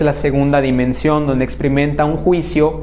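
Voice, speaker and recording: Audible room echo and noticeable background noise, with a Yucatán accent. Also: man. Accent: southern Mexican (Yucatán). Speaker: spiritual lecturer. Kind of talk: lecture Q&A; closing announcements. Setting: conference hall with live audience and online stream.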